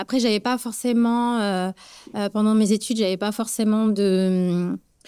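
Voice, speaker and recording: Fairly even in intonation and fairly slow in pace, a woman's dark, mellow tone comes through in a very clean recording with a silent background. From Morocco. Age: 30s. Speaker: beauty business founder. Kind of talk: interview. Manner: hesitant, many fillers.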